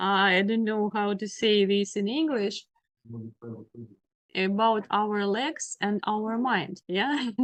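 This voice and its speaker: Speaking with a Ukrainian accent, a woman talks at a very slow pace and a medium pitch, with ordinary pitch variation and long, frequent pauses. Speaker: law lecturer. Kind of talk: lecture. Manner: halting, many fillers.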